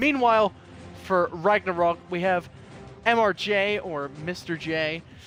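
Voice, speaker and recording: Music plays in the background behind a man. His pitch is high, with ordinary pitch variation. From Northern Ireland. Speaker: esports caster. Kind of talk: live commentary. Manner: animated.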